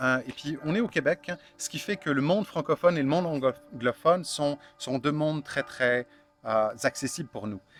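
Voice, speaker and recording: Music plays in the background. The sound is dry and close with no echo, and the intonation is lively. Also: man. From France, Burgundy. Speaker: founder of online fermentation supply shop. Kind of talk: interview. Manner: halting, many fillers.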